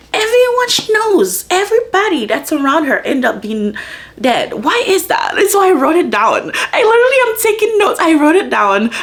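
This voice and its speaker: Amid noticeable background noise, a woman with an extremely high pitch talks in an animated tone at a moderate pace, her pitch swinging very widely. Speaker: book vlogger. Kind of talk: casual vlog chat.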